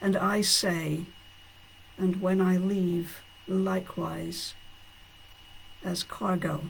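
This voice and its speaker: The speech moves at a very slow pace with long, frequent pauses over noticeable background noise. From Scotland. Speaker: poet. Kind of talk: casual talk between poems; poetry reading. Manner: halting, many fillers.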